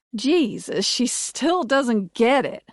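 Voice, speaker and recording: A woman's put-on character voice, high-pitched and growling, with lively intonation and a dry, close sound with no echo. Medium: read story. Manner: growling, profane.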